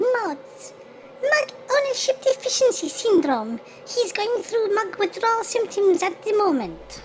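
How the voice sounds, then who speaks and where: Against clear background noise, a woman does a put-on character voice at an extremely high pitch and a fairly slow pace. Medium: audio drama. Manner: fretful, repeats "oh dear".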